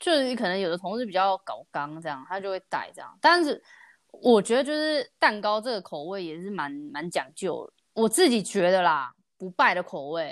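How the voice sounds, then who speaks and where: A woman at medium pitch with very wide pitch swings, big swings in loudness, a moderate pace, and a very clean recording with a silent background. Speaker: podcast host. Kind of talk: casual chat.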